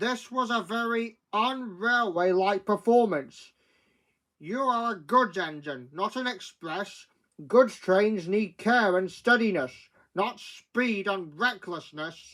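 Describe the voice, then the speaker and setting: A booming, put-on character voice, raised and projected, fairly high in pitch and at a fairly slow pace. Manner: booming, stern.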